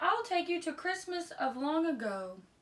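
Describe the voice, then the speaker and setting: Putting on a character voice, a woman speaks at a moderate pace and an extremely high pitch. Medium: read story.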